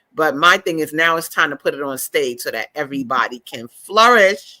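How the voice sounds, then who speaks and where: A woman with a New York accent speaks with a very deep, low pitch and a bright, sharp, animated tone. Her intonation is lively, her pace moderate, and the recording very clean with a silent background. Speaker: author and book fair founder. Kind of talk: casual chat. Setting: live stream.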